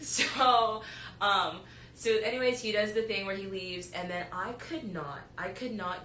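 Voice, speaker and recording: Lively intonation at a moderate pace comes through with audible room echo. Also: woman. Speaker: podcast host, college student. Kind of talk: casual chat. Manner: loud.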